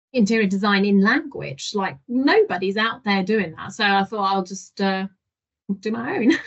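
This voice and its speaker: Her voice sits at a medium pitch and sounds somewhat breathy. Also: ordinary pitch variation, moderate pace. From Germany. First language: German. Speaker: digital marketing manager. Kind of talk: podcast interview.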